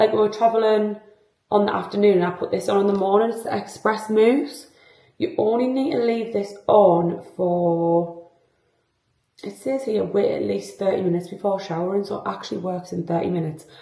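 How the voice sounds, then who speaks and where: Here a woman speaks with a British accent at a moderate pace. Her pitch is medium with ordinary variation. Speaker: lifestyle vlogger. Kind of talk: casual vlog talk to camera. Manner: chatty, filler-heavy.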